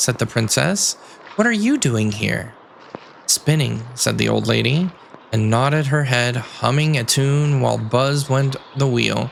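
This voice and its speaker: A man speaks at a fairly slow pace with very even loudness over noticeable background noise. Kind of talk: sleep story. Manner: soft-spoken.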